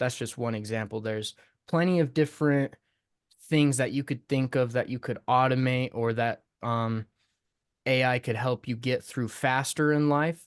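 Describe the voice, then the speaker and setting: With an unremarkable speaking voice, a man talks at a medium pitch and moderate pace with fairly even intonation, the sound dry and close with no echo over a quiet background. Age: 20s. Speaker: podcast guest, hip hop artist and producer. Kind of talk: casual chat.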